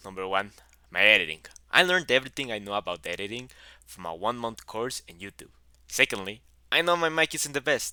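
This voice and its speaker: A man at medium pitch with a strong Mexican accent, bright and sharp in tone, with very wide pitch swings, big swings in loudness and a fairly quick pace. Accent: heavy Mexican Spanish. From Mexico. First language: Spanish. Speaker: YouTuber, gaming content creator. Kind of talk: video intro.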